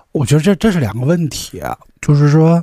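A man talks at a moderate pace. His voice is fairly high and somewhat breathy. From Qingdao, Shandong, China. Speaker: podcast co-host. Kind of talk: casual chat. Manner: frequent stuttering repetitions.

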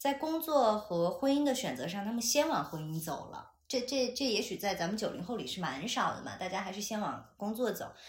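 Audible room echo surrounds a woman whose speech has very wide pitch swings and a moderate pace. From China, Chengdu. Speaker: podcast co-host, broadcasting graduate. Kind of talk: casual chat. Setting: at home, in person. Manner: animated.

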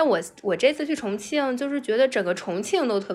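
With lively intonation, this woman keeps a moderate pace. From China, Anhui. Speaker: office worker, travel guest. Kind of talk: casual chat. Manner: animated.

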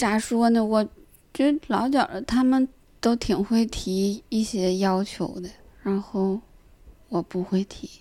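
At a very slow pace with long, frequent pauses, a woman with a Northeastern Chinese accent speaks in a dark, mellow tone at a fairly high pitch with ordinary pitch variation. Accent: Northeastern Mandarin. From Northeast China, Jinzhou. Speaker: stand-up comedian. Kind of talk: casual chat.

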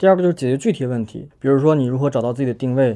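The man's tone is dark and mellow, with ordinary pitch variation. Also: quiet background. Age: 20s. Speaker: career blogger and startup founder. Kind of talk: podcast interview.

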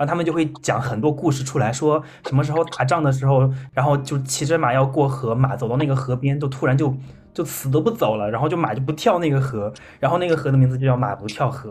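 A man talks at a very fast pace with a medium pitch. His pitch varies in an ordinary way. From Henan, China (rural village). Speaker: podcast host. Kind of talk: casual chat.

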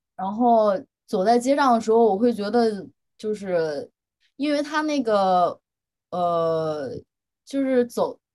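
A woman speaks very slowly at a fairly high pitch, with long, frequent pauses. Her tone is dark and mellow, and her intonation is lively. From China, Henan. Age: 20s. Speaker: doctoral student, blind date participant. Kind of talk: casual chat.

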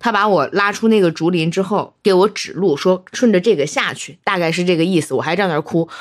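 A woman talks with a plain, everyday voice at a medium pitch with ordinary variation. Her pace is fairly quick, with hardly any pauses. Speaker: podcast co-host. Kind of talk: casual chat.

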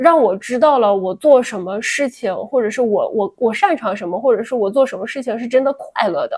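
Her high-pitched voice has lively intonation, and the woman speaks with hardly any pauses. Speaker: podcast co-host. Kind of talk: casual chat. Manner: soft-spoken.

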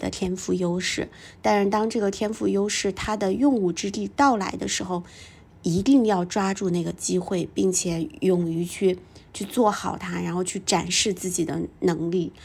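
Speaking in a normal speaking voice at a medium pitch, a woman is heard in a very clean recording with a silent background. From northern China, small town. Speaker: podcast host and executive coach. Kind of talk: personal storytelling monologue.

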